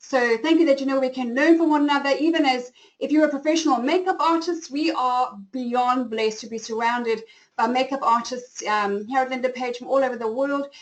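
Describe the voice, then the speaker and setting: Speaking at a fairly quick pace, a woman with a South African accent uses a high pitch. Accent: flat South African. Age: 40s. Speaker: style coach and webinar host. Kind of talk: webinar presentation. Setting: online webinar.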